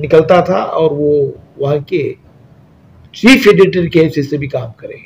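The speech moves at a fairly slow pace with ordinary pitch variation over light background noise. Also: man. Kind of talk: interview answer, tribute to a deceased scholar. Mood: solemn, respectful condolence. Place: office.

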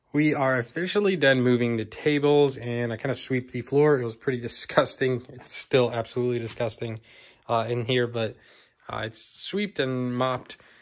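A man talks at a moderate speed, his pitch varying in an ordinary way. All is quiet behind him. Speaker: hobby vlogger. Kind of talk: casual vlog chat. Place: home room. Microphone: phone near.

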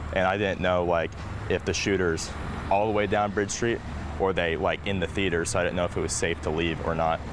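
The delivery moves at a fairly quick pace. The sound is dry with no echo, though noticeable background noise is present. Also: man, very deep, low pitch for a man. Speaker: witness. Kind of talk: casual interview remarks. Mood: shaken, animated recounting. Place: street.

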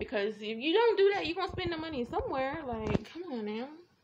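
A woman speaks over noticeable background noise. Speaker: vlogger. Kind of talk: casual vlog monologue. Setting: outdoors. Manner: rambling, filler-heavy.

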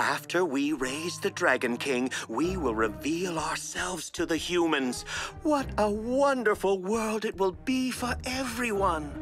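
Clear music plays in the background as a cartoonish character voice at a middle pitch speaks at a fairly slow pace. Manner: smooth, honeyed, manipulative.

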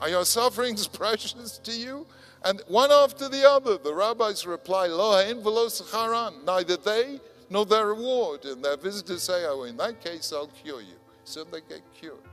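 Faint music plays in the background as a man speaks at a moderate pace. His loudness swings a lot. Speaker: conference speaker. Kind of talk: lecture. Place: hall. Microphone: podium.

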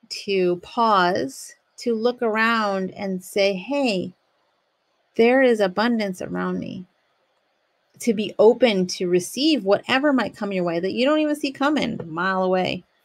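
Speaking very slowly, a woman with an American accent uses ordinary pitch variation. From United States. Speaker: podcast host, poet and yoga teacher; podcast host. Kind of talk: casual solo talk with poetry reading. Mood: calm, earnest, spiritual. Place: home room. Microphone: studio mic.

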